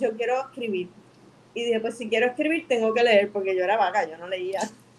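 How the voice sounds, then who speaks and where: A woman with a fairly high pitch and lively intonation, an ordinary speaking voice. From Puerto Rico (Bayamón). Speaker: filmmaker and artist. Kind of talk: interview. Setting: live stream.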